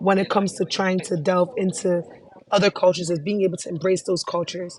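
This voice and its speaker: Noticeable background noise is present. A woman with a medium pitch talks at a fairly quick pace. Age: young. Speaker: student vlogger presenting a class project. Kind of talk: casual presentation reviewing a website. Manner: animated.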